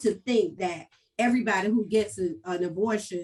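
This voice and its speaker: A somewhat breathy woman's voice of medium pitch, at a fairly slow pace with ordinary pitch variation. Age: 50s. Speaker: author. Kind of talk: panel discussion. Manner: halting.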